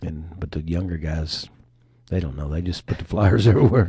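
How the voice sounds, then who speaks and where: A man speaks in a very deep, low pitch with a dark, mellow tone. His voice is somewhat breathy, with ordinary pitch variation. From Alabama. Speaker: event promoter and business owner. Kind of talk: radio interview, casual chat.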